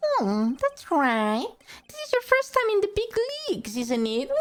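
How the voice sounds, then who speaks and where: A put-on character voice swings very widely in pitch while keeping a moderate pace. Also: woman, extremely high pitch for a woman. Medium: virtual streamer. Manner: pompous, patronizing.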